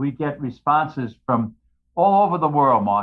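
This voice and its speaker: A man's medium-pitched voice in a New York accent at a fairly slow pace. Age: 80s+. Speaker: retired firefighter and author. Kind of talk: casual chat. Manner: loud.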